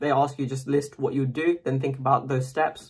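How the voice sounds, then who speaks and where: Breathy to a degree, a man speaks at a medium pitch. His intonation is monotone and flat. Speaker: medical student making an interview tips video. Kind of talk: casual tutorial monologue to camera. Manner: fast; hesitant, many fillers.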